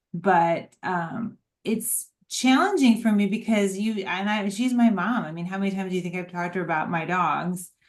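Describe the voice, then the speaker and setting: Medium in pitch, a woman talks at a moderate pace with ordinary pitch variation. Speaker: dog owner and daughter of the featured guest. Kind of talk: casual chat. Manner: emphatic like a coach.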